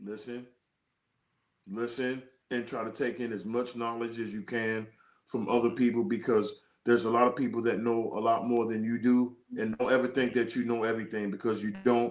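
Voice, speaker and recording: A man with an American accent, fairly quick and flat in a monotone. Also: medium pitch for a man. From Washington DC, Southeast. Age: 60s. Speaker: former basketball player and coach. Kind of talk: interview.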